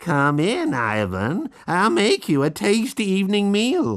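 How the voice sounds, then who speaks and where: Doing a put-on character voice, a man speaks high and fairly slowly against a quiet background. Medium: read story.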